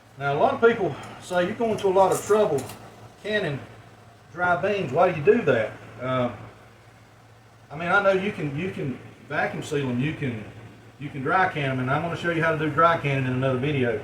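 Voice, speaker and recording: A man's fairly high pitch and lively intonation at a fairly quick pace, broken by long, frequent pauses, with audible room echo and noticeable background noise. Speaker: home canning video maker. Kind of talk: tutorial. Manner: mumbling; casual, folksy.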